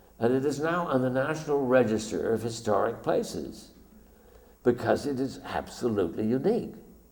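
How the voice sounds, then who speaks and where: A man talks at a medium pitch. Room echo can be heard around his voice. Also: ordinary pitch variation, moderate pace. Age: 70s. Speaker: documentary photographer. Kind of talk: illustrated lecture. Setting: stage with audience.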